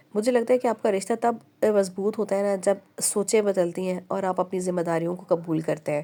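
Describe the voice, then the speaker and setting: A woman's medium-pitched, dark, mellow voice at a moderate pace with fairly even intonation. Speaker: vlogger, housewife. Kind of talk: casual vlog narration. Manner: halting with fillers.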